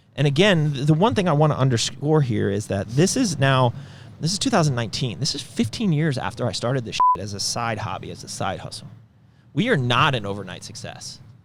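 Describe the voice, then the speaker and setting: A man's medium-pitched voice at a fairly quick pace, with big swings in loudness and noticeable background noise. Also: lively intonation. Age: 40s. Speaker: supplement company founder and podcast host. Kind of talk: casual business podcast chat. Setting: company headquarters. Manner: animated.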